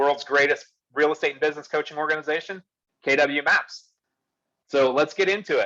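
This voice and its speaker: A man speaks loudly at a fairly high pitch. His tone is bright and sharp. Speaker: real estate business coach. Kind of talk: online workshop presentation. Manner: animated.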